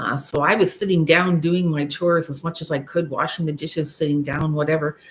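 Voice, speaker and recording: A woman speaks at a very deep, low pitch, somewhat breathy. Her pace is moderate and her intonation fairly even. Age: 60s. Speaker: YouTuber sharing midlife life story. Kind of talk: live stream monologue, personal story. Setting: live stream. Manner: halting, many fillers.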